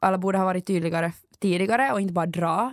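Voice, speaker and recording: Speaking very fast, a woman uses a medium pitch. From Finland, Ekenäs. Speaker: student radio host. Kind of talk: casual chat.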